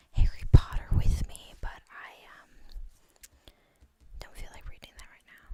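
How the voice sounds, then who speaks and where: Someone talks in a whisper. The delivery is fairly slow. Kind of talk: casual talk to camera. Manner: whispered.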